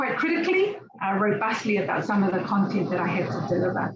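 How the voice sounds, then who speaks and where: A woman speaks with a New Zealand accent. Her pace is fairly quick. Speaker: university outreach officer and researcher. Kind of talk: conference presentation. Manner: hesitant, many fillers.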